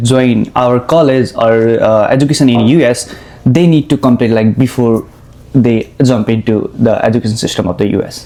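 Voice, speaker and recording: This man speaks with a Nepali accent at a moderate pace. His medium-pitched voice has a dark, mellow tone and ordinary pitch variation. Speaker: international student, podcast host. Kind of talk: interview. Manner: halting.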